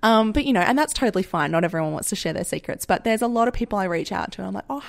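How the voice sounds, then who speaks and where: A woman with an Australian accent makes very wide pitch swings. The recording is very clean with a silent background. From Western Australia, Perth suburbs. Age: 30s. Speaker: podcast host and agriculture worker. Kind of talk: casual solo monologue.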